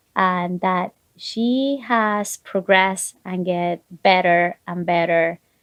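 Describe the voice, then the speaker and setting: A woman with a non-native accent, medium pitch, a very slow pace and hardly any pauses. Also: ordinary pitch variation. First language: not English. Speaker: physician. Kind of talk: interview.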